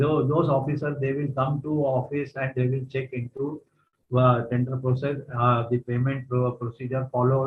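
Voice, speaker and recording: In a monotone, flat delivery, a man speaks at a medium pitch. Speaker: retired vigilance officer and trainer. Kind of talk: lecture. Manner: fast.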